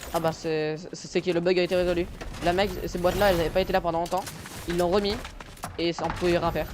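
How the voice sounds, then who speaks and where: A man speaks at a very fast pace in a high, monotone, flat voice, with long, frequent pauses. Noticeable background noise runs underneath. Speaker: gaming youtuber. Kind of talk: casual gameplay chat. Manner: hesitant, stammering.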